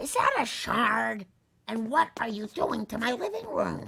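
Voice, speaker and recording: In a put-on character voice, a female-sounding speaker talks at a fairly slow pace with a fairly high pitch. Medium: video game.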